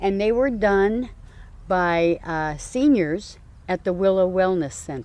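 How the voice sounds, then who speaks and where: A woman with an American accent speaks at a medium pitch and a very slow pace, her intonation lively. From New Jersey, US. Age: 60s. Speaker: community garden founder. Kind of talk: interview. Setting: outdoors.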